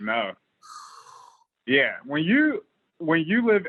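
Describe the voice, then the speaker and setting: A man talks with an American accent. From Arkansas, US South. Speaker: podcast guest. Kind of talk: casual chat.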